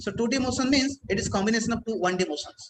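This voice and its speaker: Speaking at a very fast pace, a man uses an extremely high pitch with ordinary pitch variation. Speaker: physics teacher. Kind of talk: lecture.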